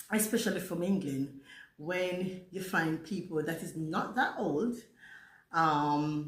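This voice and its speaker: Very slow speech with long, frequent pauses and ordinary pitch variation carries audible room echo. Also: woman. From Jamaica. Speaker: vlogger. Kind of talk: casual storytime monologue.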